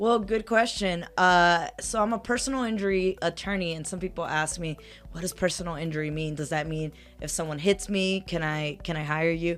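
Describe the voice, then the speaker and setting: Music plays in the background as a woman talks at a moderate pace. Her pitch is fairly low, with ordinary pitch variation. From South Central Los Angeles, California. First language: Spanish. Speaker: personal injury attorney. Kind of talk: casual interview.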